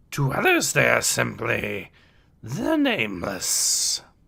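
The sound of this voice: Slowly and with vocal fry, a man does a put-on character voice at a medium pitch, its bright, sharp tone leaping through very wide pitch swings.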